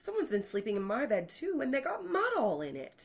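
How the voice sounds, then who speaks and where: In a put-on character voice, a female-sounding speaker goes at a fairly quick pace with fairly high pitch. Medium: read story.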